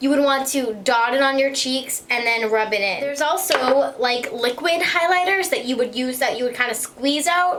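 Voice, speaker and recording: Through audible room echo and noticeable background noise, a woman with a high pitch keeps her loudness very even. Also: ordinary pitch variation, moderate pace. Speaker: beauty vlogger. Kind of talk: makeup tutorial. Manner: slurred speech; casual, hesitant with ums.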